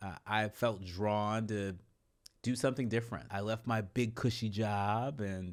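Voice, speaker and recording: Over a silent background in a very clean recording, a man with a fairly low voice speaks at a fairly slow pace with fairly even intonation. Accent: West Coast American. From San Francisco Bay Area, California. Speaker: political journalist and professor. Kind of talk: podcast interview. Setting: face-to-face conversation.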